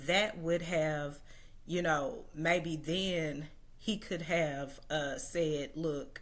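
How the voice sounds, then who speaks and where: Speaking very slowly in a very deep, low voice with an American accent, a woman shows ordinary pitch variation amid audible room echo. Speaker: social media commentator. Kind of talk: livestream monologue. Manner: hesitant, many fillers.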